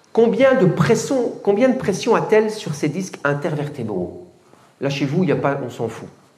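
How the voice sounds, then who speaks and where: An animated voice with very wide pitch swings and big jumps in loudness, delivered at a fairly slow pace. Background noise is noticeable throughout. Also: man, high pitch for a man. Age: 70s. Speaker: fitness coach. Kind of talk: lecture.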